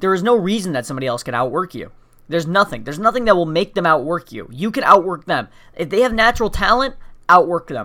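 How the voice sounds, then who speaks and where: In a very clean recording with a silent background, a man with a high pitch and a bright, sharp tone talks at a very fast pace, his pitch swinging very widely and his loudness swinging a lot. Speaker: podcast host. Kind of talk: motivational monologue. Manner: high energy.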